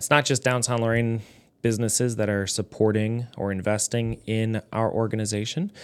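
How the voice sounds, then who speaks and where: A man with an American accent and an unremarkable speaking voice talks at a fairly quick pace in a fairly low pitch. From Lorain, Ohio, US Midwest. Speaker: nonprofit executive director. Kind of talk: interview.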